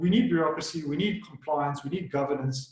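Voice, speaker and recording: Here is a man with a fairly high pitch. He talks at a very fast pace. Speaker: solution and technical architect. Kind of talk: webinar presentation. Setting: online webinar.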